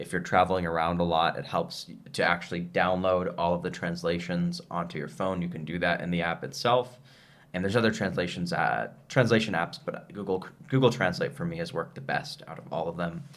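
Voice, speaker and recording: This man talks at a fairly quick pace with an American accent. His pitch is very deep and low, with ordinary variation. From United States. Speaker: travel and business video host. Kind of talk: casual chat.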